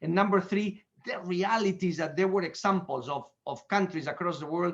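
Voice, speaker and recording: A man speaks with a Spanish accent at a high pitch. His pitch variation is ordinary. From Spain. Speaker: economist. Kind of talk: lecture. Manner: fast; halting.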